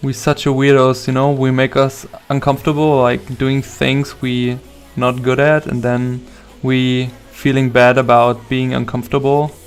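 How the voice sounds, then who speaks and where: A man's medium-pitched voice with a non-native accent, monotone and flat, at a moderate pace amid noticeable background noise. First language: not English. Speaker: concept artist. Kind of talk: live stream chat while drawing. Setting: home live stream.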